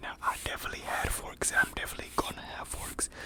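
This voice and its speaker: A man is whispering. Noticeable background noise runs under his voice. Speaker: ASMR creator. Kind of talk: ASMR whisper video. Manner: whispered.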